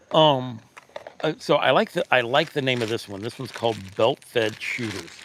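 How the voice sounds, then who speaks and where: A man at medium pitch with ordinary pitch variation and a moderate pace, against noticeable background noise. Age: 50s. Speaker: e-bike reviewer, livestream host. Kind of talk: casual livestream chat. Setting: live stream.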